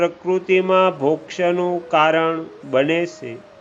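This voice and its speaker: A man talks at a high pitch over noticeable background noise. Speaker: religious scripture narrator. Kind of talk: scripture reading. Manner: calm.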